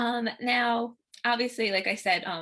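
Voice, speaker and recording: A woman speaks with a New Jersey accent. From Central New Jersey. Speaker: blogger interviewer. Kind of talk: interview.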